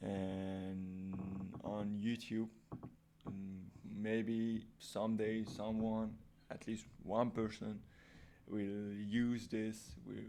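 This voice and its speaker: A man with a non-native accent, very slow and monotone with flat intonation, long, frequent pauses and audible room echo. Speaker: programming YouTuber. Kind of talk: casual tutorial talk. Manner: halting, many fillers and restarts; unscripted real-time speaking.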